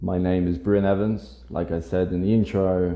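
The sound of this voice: A man's low-pitched, dark, mellow voice at a moderate pace, with fairly even intonation and audible room echo.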